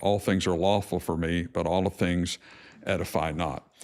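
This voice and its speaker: A man's very deep, low voice with ordinary pitch variation, on a very clean recording with a silent background. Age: 60s. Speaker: pastor. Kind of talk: sermon. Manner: halting, many fillers and restarts.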